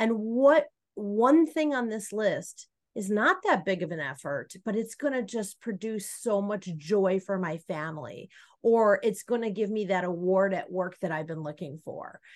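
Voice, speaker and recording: The woman has an unremarkable speaking voice with a medium pitch and lively intonation. She speaks at a fairly slow pace over a quiet background. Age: 50s. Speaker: coach and author. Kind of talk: interview.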